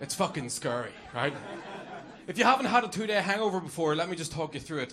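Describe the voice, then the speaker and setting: A man with a Northern Irish accent speaks with lively intonation amid audible room echo and noticeable background noise. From Northern Ireland. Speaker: comedian. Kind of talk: stand-up. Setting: stage with audience.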